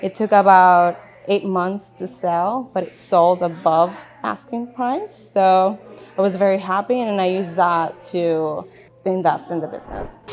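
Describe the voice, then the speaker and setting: A woman's medium-pitched voice with a Spanish accent, fairly slow in pace, with ordinary pitch variation and big swings in loudness over noticeable background noise. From Chile, moved to US at age ten. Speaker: business owner. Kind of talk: interview. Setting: office.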